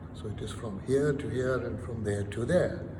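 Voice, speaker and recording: With audible room echo and noticeable background noise, a man speaks at a medium pitch. His pitch swings very widely. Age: 70s. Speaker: former financial regulator and professor. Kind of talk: interview. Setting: live online talk. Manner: halting, with repeated words.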